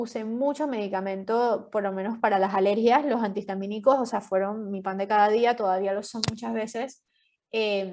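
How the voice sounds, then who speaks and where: A woman's normal speaking voice, fairly high in pitch, at a fairly slow pace with fairly even intonation. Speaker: podcast guest sharing health story. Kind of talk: interview testimony. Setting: podcast.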